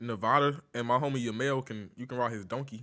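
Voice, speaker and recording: In a very clean recording with a silent background, a man with a North Carolina accent speaks at a medium pitch. His tone is bright and sharp, with fairly even intonation. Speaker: online troll streamer. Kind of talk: casual chat.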